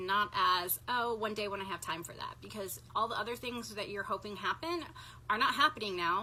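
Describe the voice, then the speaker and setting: Noticeable background noise behind a woman's voice with ordinary pitch variation. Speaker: energy healer. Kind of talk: instructional talk to live viewers.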